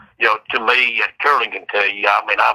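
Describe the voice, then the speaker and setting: This is a man speaking. He has a strong Southern US accent. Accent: strong rural Southern country. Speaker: death row inmate. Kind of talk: casual chat. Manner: halting, repeats words.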